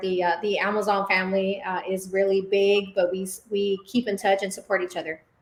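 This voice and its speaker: Speaking in a Spanish accent, a woman uses a medium pitch. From Dallas, Texas. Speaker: business owner. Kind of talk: interview.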